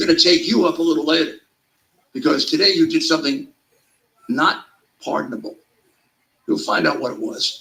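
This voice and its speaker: A man speaks in a raised, projected voice with an extremely high pitch and a bright, sharp, animated tone. His pitch swings very widely at a fairly quick pace, broken by long, frequent pauses. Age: 70s. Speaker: political talk show host. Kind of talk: casual political talk show banter.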